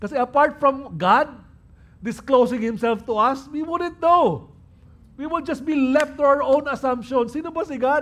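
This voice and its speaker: Speaking at a fairly slow pace, a man talks at an extremely high pitch with ordinary rises and falls. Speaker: pastor. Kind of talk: sermon.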